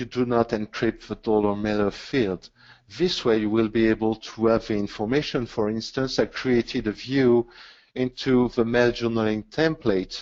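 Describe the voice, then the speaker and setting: Using an ordinary speaking voice, a man talks at medium pitch and a moderate pace with fairly even intonation. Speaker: webinar presenter, IT consultant. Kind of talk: technical webinar presentation. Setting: online webinar.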